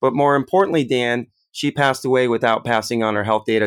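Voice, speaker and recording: This man has a normal speaking voice at a medium pitch, with ordinary pitch variation. The sound is dry and close, with no echo. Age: 30s. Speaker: health tech CEO. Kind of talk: interview. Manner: frequent filler words.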